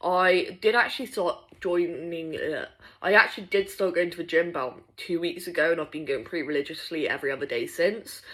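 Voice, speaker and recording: A British accent at a fairly quick pace, on a very clean recording with a silent background. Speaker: vlogger. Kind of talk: casual video diary.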